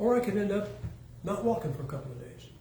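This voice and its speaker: Fairly quick speech from a man, audible room echo around it. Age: 70s. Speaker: preacher. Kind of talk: sermon. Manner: casual, joking.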